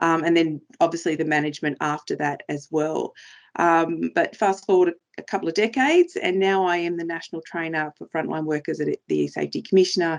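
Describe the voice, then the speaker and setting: In an Australian accent, a woman speaks fairly quickly at a fairly low pitch. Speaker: trainer for frontline workers, former police officer. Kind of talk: presentation. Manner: fast.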